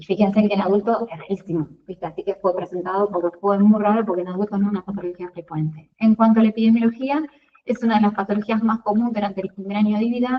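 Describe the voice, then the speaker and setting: A woman talks at a very fast pace in a medium pitch. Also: fairly even intonation. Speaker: pediatrician giving a class to residents. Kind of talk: lecture. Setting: video call.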